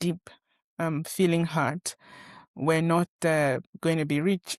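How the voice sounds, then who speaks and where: A woman with a northern Nigerian accent speaks fairly slowly in a fairly low voice with fairly even intonation. The recording is very clean with a silent background and a dry, close sound with no echo. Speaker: podcast host and former pharmacist. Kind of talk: personal monologue. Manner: halting, many fillers.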